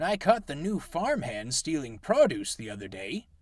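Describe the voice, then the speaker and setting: A man's put-on character voice, high-pitched, with very wide pitch swings at a moderate pace. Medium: read story.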